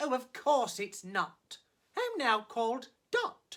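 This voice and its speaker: A woman's high-pitched voice comes through in a put-on character voice. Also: fairly slow pace. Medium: read story.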